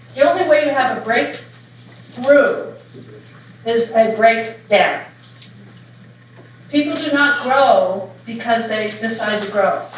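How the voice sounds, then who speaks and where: Audible room echo and noticeable background noise surround the recording. A woman speaks with ordinary pitch variation. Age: 70s. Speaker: personal development coach. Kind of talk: workshop talk. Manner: animated.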